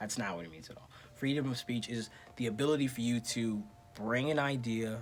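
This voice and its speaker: The pitch varies in an ordinary way and the pace is moderate. Music can be heard behind the voice. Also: man. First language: not English. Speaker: vlogger. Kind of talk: casual rant to camera. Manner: animated.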